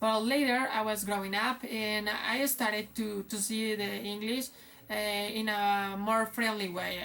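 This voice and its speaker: A woman speaks at a fairly slow pace. Her pitch is medium. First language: Spanish. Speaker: English teacher. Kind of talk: casual vlog talk. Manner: halting, many fillers.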